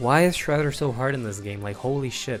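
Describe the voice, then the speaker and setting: Music plays in the background as a man talks at a very fast pace in an enthusiastic tone. His pitch variation is ordinary. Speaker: video essayist. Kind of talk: game commentary narration. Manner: casual, enthusiastic.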